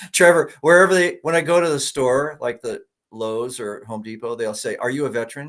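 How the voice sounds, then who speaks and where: Lively intonation and a fairly quick pace mark this man's unremarkable speaking voice. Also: fairly high pitch for a man. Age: 60s. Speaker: online interviewer and former teacher. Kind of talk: casual interview chat.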